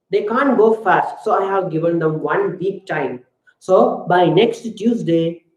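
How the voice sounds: With lively intonation, a natural reading voice is heard over a quiet background.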